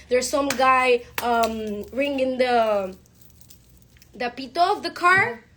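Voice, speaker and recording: A woman speaks loudly in a high pitch with lively intonation. Her pace is very slow, broken by long, frequent pauses. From Panama. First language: Spanish. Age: 20s. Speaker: lawyer and politician. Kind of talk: speech. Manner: halting.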